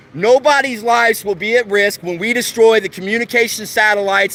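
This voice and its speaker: A man's raised, projected voice, high in pitch, with ordinary pitch variation and a moderate pace. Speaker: activist livestreamer. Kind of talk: street livestream protest speech. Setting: outdoors outside a TV station. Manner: loud; impassioned.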